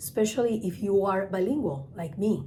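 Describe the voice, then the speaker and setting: A woman's medium-pitched, somewhat breathy voice with a Spanish accent, dark and mellow in tone, at a moderate pace with ordinary pitch variation. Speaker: travel agent and trainer. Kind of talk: tutorial.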